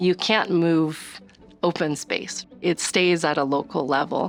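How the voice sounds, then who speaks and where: This woman speaks very slowly in a fairly low pitch, with a West Coast accent. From US Northwest. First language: Chinese. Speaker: city department director. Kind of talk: documentary interview.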